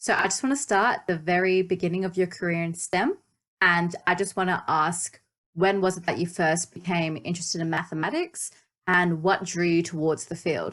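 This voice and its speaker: Against a quiet background, a woman with an Australian accent talks with fairly even intonation. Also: fairly low pitch for a woman, moderate pace. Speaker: podcast host. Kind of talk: podcast interview.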